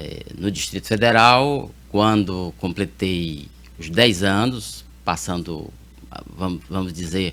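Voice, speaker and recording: Vocal fry runs through this man's very deep, low pitch. His intonation is lively, and he talks at a very slow pace. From Piauí, Brazil (Teresina). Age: 60s. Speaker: lawyer, judicial candidate. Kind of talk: interview. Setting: TV studio. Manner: halting, many fillers.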